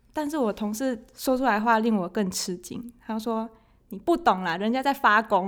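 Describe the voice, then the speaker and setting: A woman with a Taiwanese accent speaks at a fairly high pitch, her loudness swinging widely. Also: ordinary pitch variation, moderate pace. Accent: Taiwanese Mandarin. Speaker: accounting and finance office worker. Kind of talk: casual interview chat.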